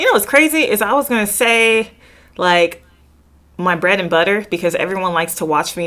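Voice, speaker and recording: In an American accent, a woman speaks at a moderate pace and medium pitch. Her intonation is lively and her tone bright and sharp. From Southern California. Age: 30s. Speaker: Highland Games athlete. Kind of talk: casual chat.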